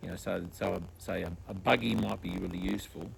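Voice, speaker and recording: This man's very deep, low pitch carries vocal fry as he talks at a moderate pace. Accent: Australian. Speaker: podcast host. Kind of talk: casual interview chat. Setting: outdoors in a backyard. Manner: halting, many fillers.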